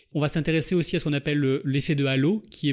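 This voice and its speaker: Talking at a very fast pace, a man uses a fairly high pitch. His pitch varies an ordinary amount, and the background is quiet. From southeastern France. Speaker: linguistics researcher. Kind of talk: podcast interview. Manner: measured, explanatory.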